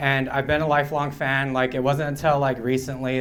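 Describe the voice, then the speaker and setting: A man speaks at a moderate pace. Room echo is audible around him. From Pine Ridge Reservation, South Dakota (Oglala Lakota). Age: 30s. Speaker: stand-up comedian. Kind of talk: stand-up. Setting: stage with audience at a bar.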